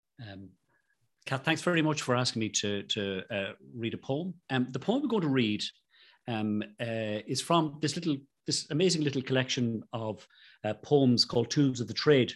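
At a moderate pace, a man talks with lively intonation at a medium pitch. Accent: Irish. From Ireland. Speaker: rheumatologist. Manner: halting.

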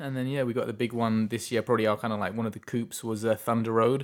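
A man with an English accent talks at a very fast pace. His medium-pitched delivery stays flat and monotone. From England. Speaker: independent filmmaker and film festival director. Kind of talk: casual interview chat. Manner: laughs often.

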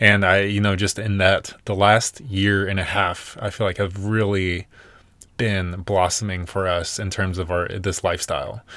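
A man's bright, sharp voice with an American accent, fairly low in pitch and monotone, flat in intonation. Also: moderate pace, very clean recording, silent background. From US South, Nashville, Tennessee. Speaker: podcast co-host, van lifer. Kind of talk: casual chat.

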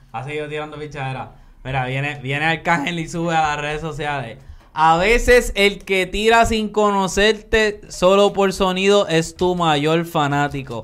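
Music plays in the background as a man talks at a fairly slow pace. His voice sits high with lively intonation. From Puerto Rico, Coamo. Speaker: podcast host. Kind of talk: casual chat.

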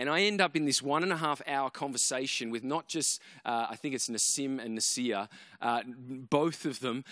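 Very cleanly recorded against a silent background, a man with an Australian accent speaks at a moderate pace in a bright, sharp tone with ordinary pitch variation. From Australia, Canberra. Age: 30s. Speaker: preacher. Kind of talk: sermon.

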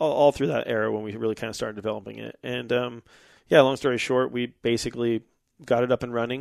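At a very fast pace, a man talks with medium pitch and fairly even intonation against a quiet background. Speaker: motorcycle business owner and company CEO. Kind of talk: casual interview chat.

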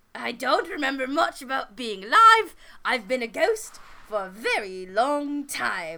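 In a put-on character voice, a female-sounding speaker uses a high pitch with very wide pitch swings. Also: moderate pace. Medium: actual play. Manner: polite, apologetic, rambling.

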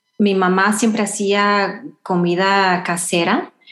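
Audible room echo fills this recording of a woman at a medium pitch. She talks at a very slow pace with ordinary pitch variation. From Houston, Texas (Salvadoran family). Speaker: runner. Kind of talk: interview. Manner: halting.

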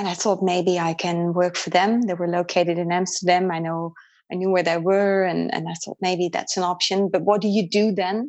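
A woman with a Dutch accent speaks at a moderate pace in a fairly low pitch, her intonation monotone and flat. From Netherlands. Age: 40s. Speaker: qigong and energy healing practitioner. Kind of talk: interview. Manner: halting.

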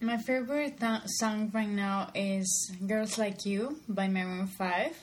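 Medium pitch from a woman with a Spanish accent, plus audible room echo. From Colombia. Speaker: podcast co-host. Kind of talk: casual chat.

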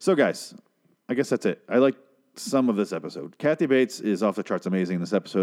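Lively intonation marks this man's fairly quick speech. The background is quiet. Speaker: TV review podcaster. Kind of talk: solo TV episode review. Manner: fast; animated.

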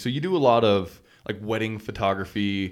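On a very clean recording with a silent background, a man with an American accent speaks at medium pitch. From Idaho, US (small town). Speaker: podcast host. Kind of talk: casual chat.

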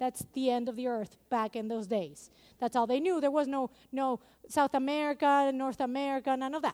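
With a non-native accent, a woman speaks at a moderate pace in a high pitch and an animated tone. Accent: non-native accent, noticeable. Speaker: preacher. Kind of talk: sermon. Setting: church. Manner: animated, engaging the congregation.

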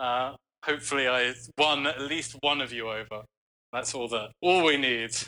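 Medium-pitched male voice with a bright, sharp tone, fairly even intonation and a moderate pace. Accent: London. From London, England. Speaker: bass player in a rock band. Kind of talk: casual interview chat.

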